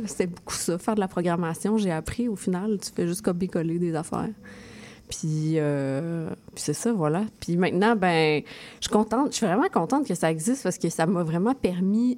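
In a Quebec accent, a woman speaks at a medium pitch and moderate pace, her tone dark and mellow, with ordinary pitch variation. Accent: Québécois French. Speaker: poet and zine artist. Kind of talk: casual interview.

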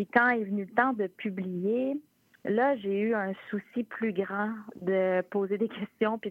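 Here is a woman with a normal speaking voice. She talks at a fairly slow pace with fairly even intonation. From Quebec, Charlevoix (La Malbaie). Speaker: author. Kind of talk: interview. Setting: phone call.

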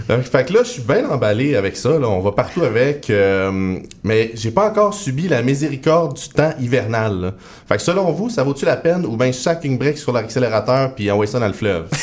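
A man's medium-pitched voice with very wide pitch swings. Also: moderate pace. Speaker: comedy writer. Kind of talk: casual chat.

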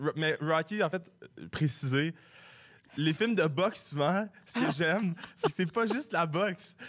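The speaker goes at a very slow pace with long, frequent pauses, ordinary pitch variation and very even loudness. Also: man, high pitch for a man. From Quebec, Sherbrooke. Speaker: comedy writer, recent graduate. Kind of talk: radio interview. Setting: radio studio.

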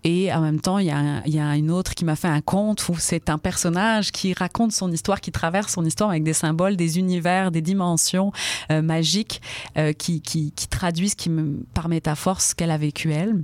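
A woman with an unremarkable speaking voice, fairly low in pitch, with fairly even intonation and very even loudness, on a very clean recording with a silent background. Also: fairly quick pace. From France, Brittany (rural Finistère). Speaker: storyteller and poet. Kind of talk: radio interview; storytelling.

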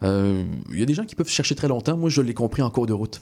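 A man's medium-pitched voice, a normal speaking voice, with ordinary pitch variation. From Montreal, Quebec (Montréal-Nord). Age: 20s. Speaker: TV news anchor. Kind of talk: interview. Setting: studio.

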